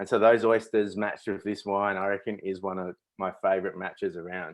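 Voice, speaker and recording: Fairly quick, fairly even speech from a man with an Australian accent and a fairly low pitch. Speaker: winemaker hosting a tasting. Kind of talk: virtual wine tasting presentation. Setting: webinar video stream.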